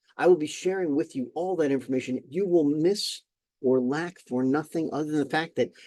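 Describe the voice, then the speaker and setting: In an American accent, the speaker moves at a fairly quick pace with a dark, mellow tone and ordinary pitch variation. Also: man. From US Northeast. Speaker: employment attorney and speaker. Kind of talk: recorded conference presentation. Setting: recorded session for online platform. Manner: fast.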